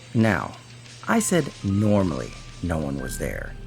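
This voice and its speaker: With music in the background, a man with a fairly low voice speaks at a fairly slow pace, his pitch swinging very widely. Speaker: voiceover narrator, indie animator. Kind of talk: first-person horror story narration.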